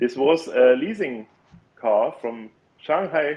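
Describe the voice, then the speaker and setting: A man with a German accent. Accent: non-native English, German. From Germany. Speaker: engineer and electric car owner. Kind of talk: casual podcast interview. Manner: halting, many fillers.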